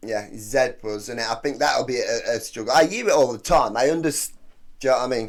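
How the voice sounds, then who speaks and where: A man in a British accent, with ordinary pitch variation. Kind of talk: casual reaction video talk to camera. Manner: chatty, informal.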